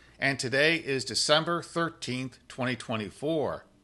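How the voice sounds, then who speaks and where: At a fairly slow pace, a bright, sharp voice with vocal fry comes over a quiet background. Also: man. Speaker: podcast host, executive director of policy institute. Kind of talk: podcast interview host.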